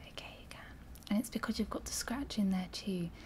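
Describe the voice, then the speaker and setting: A soft-spoken woman with fairly even intonation, over light background noise. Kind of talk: roleplay examination instructions. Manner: soft-spoken ASMR examiner voice. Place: home room.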